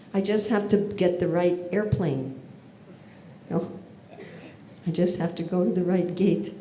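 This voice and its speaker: Speaking with an American accent, a woman talks at a fairly slow pace and fairly low pitch, with fairly even intonation and long, frequent pauses. Noticeable background noise and audible room echo are present. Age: old. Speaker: spiritual teacher. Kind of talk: lecture.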